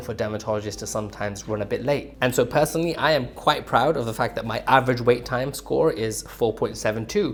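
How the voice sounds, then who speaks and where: A man with an English accent talks at a fairly quick pace in a medium pitch. His pitch varies in an ordinary way, with music in the background. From England. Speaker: dermatologist. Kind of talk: casual reaction commentary.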